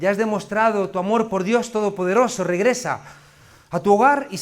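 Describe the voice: Reading aloud, plain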